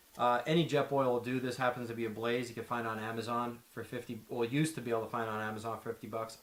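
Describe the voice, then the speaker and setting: With an American accent, a man talks very fast at medium pitch and with fairly even intonation over noticeable background noise. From Pennsylvania, Schuylkill Haven. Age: 30s. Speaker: outdoor gear presenter. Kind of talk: gear tutorial; casual introduction.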